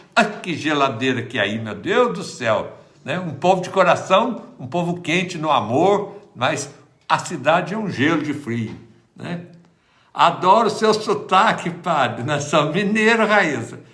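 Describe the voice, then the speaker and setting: There is audible room echo as a man speaks at a high pitch with very wide pitch swings. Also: fairly slow pace. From Minas Gerais, Brazil. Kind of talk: livestream chat and prayer. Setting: livestream at home. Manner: casual, chatty.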